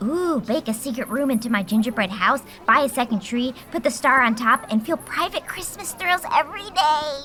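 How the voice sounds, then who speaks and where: Over clear background noise, someone talks in a put-on character voice with hardly any pauses. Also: woman, high pitch for a woman, moderate pace. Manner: upbeat, bubbly.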